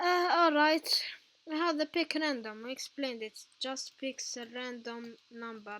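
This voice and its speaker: A woman speaks in a raised, projected voice with a non-native accent. Her high pitch carries a bright, sharp tone and lively intonation. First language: not English. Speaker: tutorial youtuber. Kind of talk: tutorial. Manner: halting.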